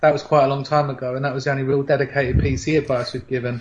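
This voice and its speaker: A man talks at a very fast pace in a fairly high pitch, with a British accent and a somewhat breathy quality. His intonation stays monotone and flat. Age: 20s. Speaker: podcast host. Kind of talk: casual chat.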